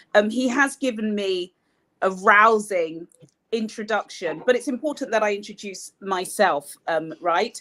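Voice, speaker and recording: A woman with an English accent, at a medium pitch and a fairly slow pace, with ordinary pitch variation. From Nigeria. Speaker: broadcast journalist and communications consultant. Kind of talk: lecture.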